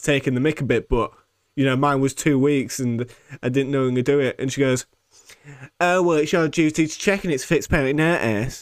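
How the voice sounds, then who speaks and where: A man with a British accent, his voice fairly high in pitch and his pace fairly quick. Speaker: podcast host. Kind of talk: angry rant. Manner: indignant, incredulous, repeating lines for emphasis; sarcastic, sweary, mimicking voices.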